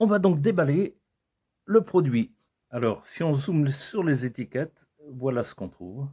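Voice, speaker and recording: Somewhat breathy and dark, mellow in tone, a man speaks at a fairly high pitch with very wide pitch swings. His pace is fairly slow, broken by long, frequent pauses. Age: 60s. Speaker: product reviewer. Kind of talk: product unboxing video. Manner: casual, hesitant with repetitions.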